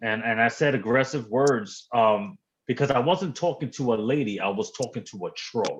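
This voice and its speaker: A man speaks in a New York accent at a medium pitch and a moderate pace. His intonation is lively, and the background is quiet. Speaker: livestream guest. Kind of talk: casual chat. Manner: animated.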